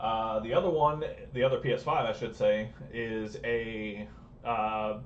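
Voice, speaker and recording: A man's voice with audible room echo. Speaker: repair technician and streamer. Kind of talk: live stream repair tutorial. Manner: fast.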